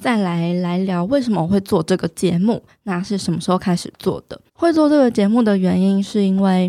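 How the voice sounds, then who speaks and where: With a Taiwanese accent, a woman speaks at a medium pitch in a dark, mellow tone, the sound dry and close with no echo. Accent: Taiwanese Mandarin. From Taiwan, Taichung (Dajia). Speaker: podcast host and fitness influencer. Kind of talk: solo podcast talk.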